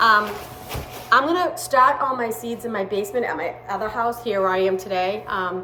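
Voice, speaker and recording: A woman with a Boston accent speaks at a moderate pace and a fairly high pitch, her intonation lively, with audible room echo and noticeable background noise. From Massachusetts, Boston area. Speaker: home gardening vlogger. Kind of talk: casual unboxing vlog. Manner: casual, with hesitations.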